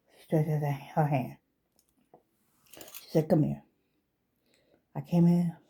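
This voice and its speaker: Fairly low in pitch, a woman speaks in a somewhat breathy voice. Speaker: vlogger giving life advice. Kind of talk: personal commentary monologue. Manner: halting, emotional.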